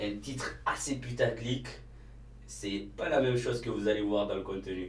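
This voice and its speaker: Audible room echo surrounds a man who talks at a fairly slow pace with a fairly low pitch and ordinary pitch variation. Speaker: YouTuber and cleaning business owner. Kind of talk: casual vlog talk to camera. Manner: hesitant, many fillers.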